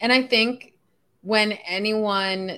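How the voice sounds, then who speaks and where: A bright, sharp tone defines this voice. The background is silent, and the recording very clean. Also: woman. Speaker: podcast host, astrologer. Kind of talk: casual interview.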